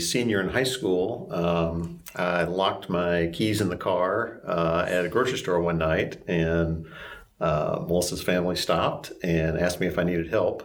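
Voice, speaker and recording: A man with a Southern US accent speaks at a very deep, low pitch and a fairly slow pace. His loudness stays very even, and room echo can be heard. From upstate South Carolina, Greenville-Spartanburg. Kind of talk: personal testimony interview.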